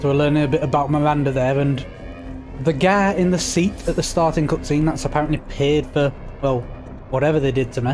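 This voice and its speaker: A man's fairly high voice at a fairly quick pace, with fairly even intonation, very even loudness, long, frequent pauses and noticeable background noise. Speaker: gaming streamer. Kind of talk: live gameplay commentary. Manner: casual.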